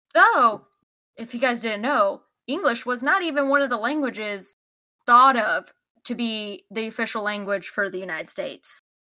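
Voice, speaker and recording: Bright and sharp in tone, a woman speaks at a moderate pace with lively intonation. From Texas. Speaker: podcast co-host. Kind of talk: casual chat.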